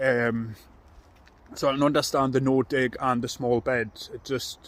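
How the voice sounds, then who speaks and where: Medium-pitched male speech in a Geordie accent, fairly slow, with monotone, flat intonation. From northern England, Newcastle. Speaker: allotment vlogger. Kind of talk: casual vlog talk to camera. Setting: outdoors on allotment.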